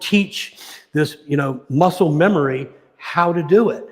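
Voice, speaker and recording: A man's voice with ordinary pitch variation. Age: 60s. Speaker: martial arts coach. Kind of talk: casual chat. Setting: live stream.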